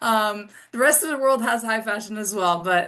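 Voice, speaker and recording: A woman speaks with a slight European accent and a fairly high pitch. Her pace is moderate. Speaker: international student panelist, tour guide. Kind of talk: Q&A panel answer.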